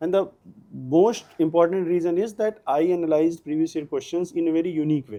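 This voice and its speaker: A man with a north Indian accent, a dark, mellow tone, high pitch, ordinary pitch variation and a fairly quick pace. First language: Hindi. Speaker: civil services exam topper. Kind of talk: interview. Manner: halting.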